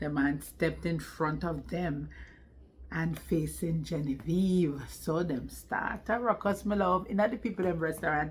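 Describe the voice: At a fairly slow pace, a woman speaks low with ordinary pitch variation.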